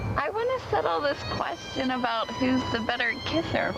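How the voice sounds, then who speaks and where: A put-on character voice at a moderate pace over loud background music. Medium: short film. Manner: sharp, sarcastic.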